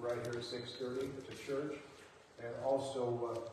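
Amid strong room echo and light background noise, a man speaks at a moderate pace. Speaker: pastor or church leader. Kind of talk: church announcements. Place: church. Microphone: camera far.

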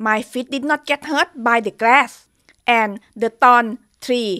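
A woman with a Thai accent speaks in a high pitch with ordinary pitch variation. Her tone is bright and sharp, and the background is quiet. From Thailand. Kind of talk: testimony. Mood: earnest, dramatic. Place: home room. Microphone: studio mic.

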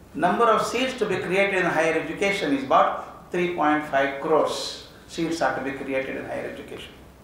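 A man's high-pitched voice at a moderate pace, with audible room echo and light background noise. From India. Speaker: education speaker. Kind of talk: lecture. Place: hall. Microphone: podium.

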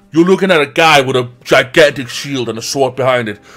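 Faint music plays behind a man speaking at a fairly quick pace with ordinary pitch variation. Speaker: gaming let's play commentator. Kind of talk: casual gameplay commentary.

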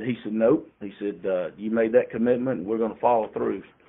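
A man with a Southern US accent. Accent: Southern US (Georgia). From US South, rural Georgia. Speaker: insurance company founder. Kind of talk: interview.

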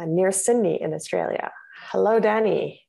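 A woman speaks with a dark, mellow tone at a moderate pace. Her pitch varies in an ordinary way against a quiet background. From Manitoba, Canada. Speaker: gallery interpreter guide, co-host. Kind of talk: reading introductions; casual chat. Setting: video call. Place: home room. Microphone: video call.

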